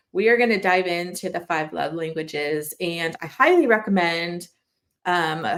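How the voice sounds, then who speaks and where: In a normal speaking voice, a woman talks at a fairly slow pace, her pitch fairly low with ordinary pitch variation. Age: 40s. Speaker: preschool podcast host and parent. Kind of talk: casual solo podcast talk. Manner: conversational with fillers and self-corrections.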